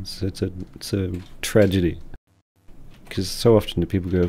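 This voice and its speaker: A man mumbles in a very deep, low, somewhat breathy voice with a dark, mellow tone and monotone, flat intonation. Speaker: streamer thanking a viewer. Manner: mumbling.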